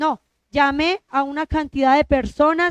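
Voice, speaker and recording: Recorded dry and close with no echo, a woman speaks in a high pitch. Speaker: lay preacher. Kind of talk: sermon.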